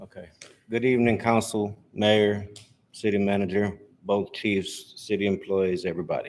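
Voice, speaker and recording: With an American accent, a man speaks at a moderate pace with a fairly low pitch and a monotone, flat intonation. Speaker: public commenter, citizen media.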